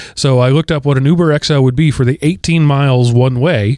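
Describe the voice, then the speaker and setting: A man's unremarkable speaking voice with an American accent, medium pitch, ordinary pitch variation and a fairly quick pace. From Texas. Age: 40s. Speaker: podcast host. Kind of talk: casual chat.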